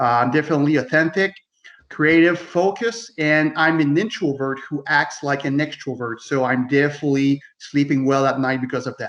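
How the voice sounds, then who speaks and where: A man with a French Canadian accent, fairly high-pitched, at a moderate pace and with ordinary pitch variation. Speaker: loss prevention manager and author. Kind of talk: casual chat.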